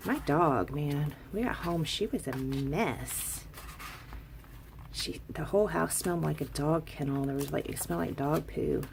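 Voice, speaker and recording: The speaker is soft-spoken and talks at a fairly slow pace over noticeable background noise. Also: woman. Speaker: crafting vlogger. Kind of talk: casual haul video. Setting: at home, craft room. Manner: quiet, soft-spoken.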